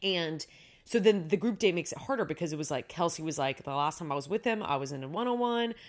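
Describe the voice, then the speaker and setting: On a very clean recording with a silent background, a woman with a fairly low pitch talks at a very fast pace, her intonation lively. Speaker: podcast co-host and actor. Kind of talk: casual chat.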